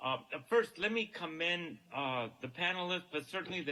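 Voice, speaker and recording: A man's voice amid noticeable background noise. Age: 70s. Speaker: professor. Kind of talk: panel remarks. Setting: video call. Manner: hesitant, many fillers.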